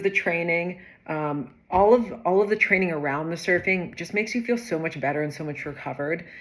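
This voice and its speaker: The woman talks at a moderate pace, her pitch varying in an ordinary way. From San Diego, California, USA. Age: 30s. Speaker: intermediate surfer. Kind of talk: testimonial, casual talk to camera.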